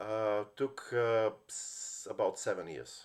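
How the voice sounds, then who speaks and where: A man with a Bulgarian accent. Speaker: lawyer. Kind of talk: personal story monologue. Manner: halting, many fillers and restarts.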